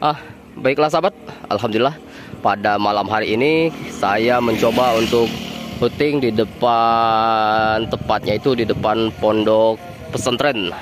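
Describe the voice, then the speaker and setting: A man's fairly slow speech with very even loudness, ordinary pitch variation, and noticeable background noise. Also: dry sound with no echo. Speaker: bus-spotting vlogger. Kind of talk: casual vlog chat. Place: street. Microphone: phone near.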